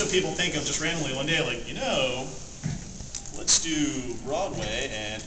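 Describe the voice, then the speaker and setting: With noticeable background noise, a man speaks at a moderate pace in a fairly high voice. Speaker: convention panel presenter. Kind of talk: live panel talk to audience. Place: hall. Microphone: camera far.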